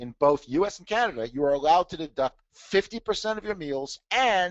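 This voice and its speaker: The man's pitch swings very widely. He keeps up a fairly quick pace. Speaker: tax trainer and author. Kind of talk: webinar presentation. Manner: fast.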